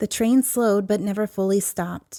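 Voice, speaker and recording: In a very clean recording with a silent background and a dry, close sound with no echo, a soft-spoken woman talks in a dark, mellow, calm and soothing tone with monotone, flat intonation. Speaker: podcast host and storyteller. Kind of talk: sleep story. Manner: soft, calm, soothing.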